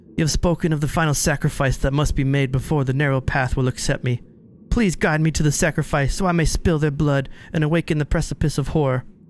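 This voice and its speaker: A put-on, whiny character voice at a fairly quick pace, with fairly even intonation and very even loudness. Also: man, fairly high pitch for a man. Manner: whining, begging.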